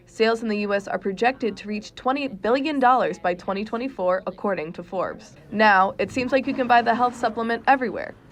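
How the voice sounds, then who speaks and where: A woman talks very fast with lively intonation amid noticeable background noise. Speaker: student TV reporter. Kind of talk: TV news report.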